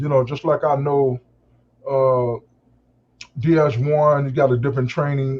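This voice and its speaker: A man talks at a moderate pace in a fairly high, somewhat breathy voice. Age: 60s. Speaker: call-in participant in a live discussion. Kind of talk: casual group discussion. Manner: halting, many fillers.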